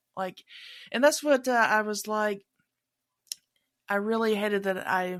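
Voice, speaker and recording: The recording is very clean, with a silent background. A woman at medium pitch speaks at a moderate pace with fairly even intonation. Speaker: podcast host. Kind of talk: casual chat.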